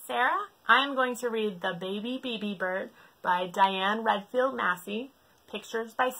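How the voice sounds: A natural reading voice carries pitch that varies in an ordinary way.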